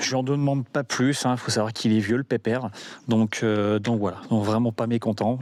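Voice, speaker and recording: The intonation is monotone and flat. A man speaks at a medium pitch. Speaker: firearms collector and video maker. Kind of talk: casual video review outro. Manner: casual, hesitant with fillers.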